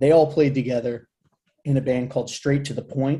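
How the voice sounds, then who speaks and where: A man speaks at a moderate pace with a fairly high pitch. His tone is dark and mellow and somewhat breathy. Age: 40s. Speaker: hardcore band singer. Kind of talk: casual chat.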